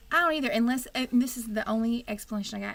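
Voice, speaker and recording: In a Texan accent, a woman talks at a fairly quick pace and a fairly high pitch with ordinary pitch variation. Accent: Texan twang. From Texas. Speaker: wig shop host. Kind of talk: casual livestream chat.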